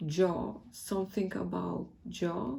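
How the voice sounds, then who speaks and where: A woman speaks with a Polish accent. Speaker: tarot reader. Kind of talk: tarot reading. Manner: casual, hesitant.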